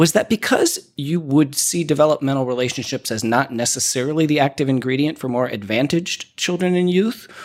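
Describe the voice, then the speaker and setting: A man talks at a fairly quick pace with an American accent. His pitch is fairly high and varies in an ordinary way. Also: hardly any pauses. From United States. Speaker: podcast interviewer, educational leader. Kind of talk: interview.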